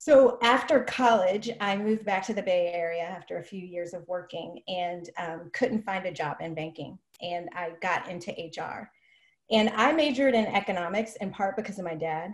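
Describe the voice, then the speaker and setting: Somewhat breathy, a woman with an American accent speaks at a moderate pace, with ordinary pitch variation and big swings in loudness. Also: medium pitch for a woman. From Oakland, California. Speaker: HR executive. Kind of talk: interview.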